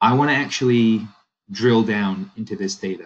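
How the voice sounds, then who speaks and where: With an American accent, a man talks at a moderate pace and a fairly low pitch. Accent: sounds American (Canadian). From Canada. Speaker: software product demonstrator. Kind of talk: software demo walkthrough. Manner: casual, conversational.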